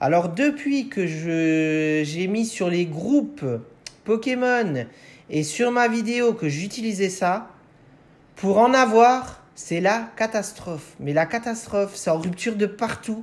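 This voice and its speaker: A man with a Moselle accent, high in pitch, very slow, with lively intonation. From France, Moselle (Lorraine). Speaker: Pokémon card collector YouTuber. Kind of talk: unboxing video. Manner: hesitant, many fillers.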